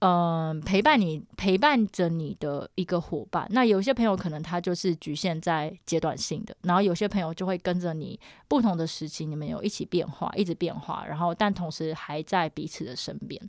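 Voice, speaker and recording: In a very clean recording with a silent background, an ordinary speaking voice moves at a moderate pace with ordinary pitch variation. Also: woman, fairly low pitch for a woman. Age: 30s. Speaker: podcast co-host. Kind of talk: casual chat. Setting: room with acoustic foam. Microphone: new upgraded equipment, own microphone.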